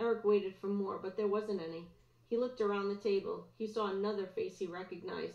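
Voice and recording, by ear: A natural voice reading aloud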